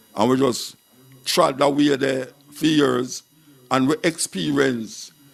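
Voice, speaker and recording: A man talks with a Jamaican accent. Vocal fry runs through his voice. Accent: Jamaican Patois. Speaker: dub poet and radio presenter. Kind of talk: interview answer.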